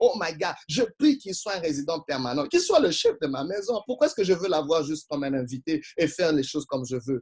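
Here a man talks at a fairly quick pace in an animated tone. His intonation is lively. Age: 40s. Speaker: pastor. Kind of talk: sermon.

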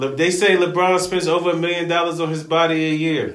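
A man speaks in a raised, projected voice with a bright, sharp tone. Room echo is audible. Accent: American. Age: 30s. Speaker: podcast co-host, recreational basketball player. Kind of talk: casual chat.

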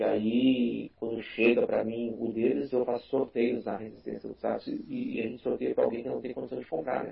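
A man with a southern Brazilian accent at a moderate pace. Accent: gaúcho Brazilian Portuguese. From Rio Grande do Sul, Brazil (Porto Alegre). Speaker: tokusatsu YouTuber. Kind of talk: casual chat.

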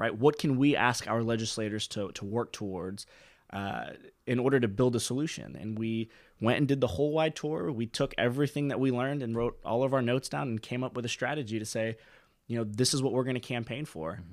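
A man with an American accent and an unremarkable speaking voice talks at medium pitch and a fairly quick pace with ordinary pitch variation, on a very clean recording with a silent background. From Pensacola, Florida. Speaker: law student and former student body president. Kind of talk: casual interview.

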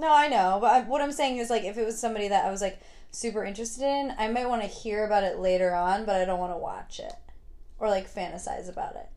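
Talking very fast with lively intonation, a woman with an American accent uses a fairly high pitch, and audible room echo surrounds her voice. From New York, Hudson Valley. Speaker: podcast host. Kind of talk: casual chat.

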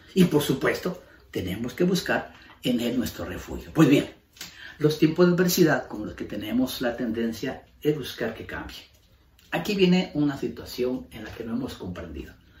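A man's voice at medium pitch, with very wide pitch swings, big swings in loudness and audible room echo. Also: moderate pace. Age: 70s. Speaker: pastor. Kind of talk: sermon.

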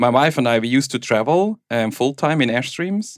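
A man with a Swiss German accent speaks at a moderate pace. His medium pitch shows ordinary variation. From Switzerland (German-speaking). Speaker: tech executive and home bitcoin miner. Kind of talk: casual interview chat. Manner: laughs often.

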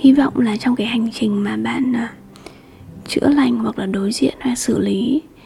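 Against noticeable background noise, a woman speaks fairly slowly in a fairly high voice with a soothing, calm tone and lively intonation. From Hanoi, northern Vietnam. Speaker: podcast host. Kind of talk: solo podcast monologue. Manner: hesitant, many fillers.

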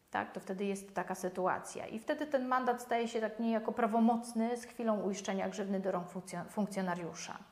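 With noticeable background noise behind her, a woman speaks fairly quickly at a fairly high pitch. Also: ordinary pitch variation. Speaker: lawyer. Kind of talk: legal explainer video. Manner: halting, with many fillers.

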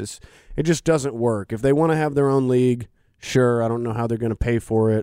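Heard in a very clean recording with a silent background, a man speaks in a dark, mellow tone with ordinary pitch variation. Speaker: podcast producer. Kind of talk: casual chat. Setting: studio.

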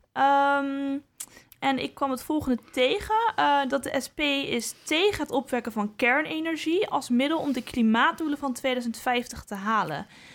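A woman speaks at a fairly slow pace in a high pitch with lively intonation. Noticeable background noise runs underneath. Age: young. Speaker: podcast host. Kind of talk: interview. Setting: studio.

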